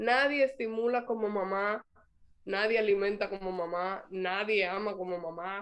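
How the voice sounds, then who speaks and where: A woman speaks with a Dominican accent at a medium pitch. Her pace is fairly slow and her intonation fairly even. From Dominican Republic. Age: 30s. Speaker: mother and public figure. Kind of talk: interview.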